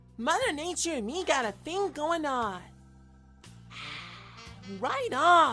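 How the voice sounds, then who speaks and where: Over clear music in the background, a man uses a put-on character voice at an extremely high pitch, speaking at a fairly slow pace with long, frequent pauses. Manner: relaxed, casual.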